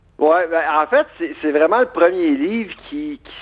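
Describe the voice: A man speaks with a Quebec accent at a fairly quick pace. His pitch varies in an ordinary way.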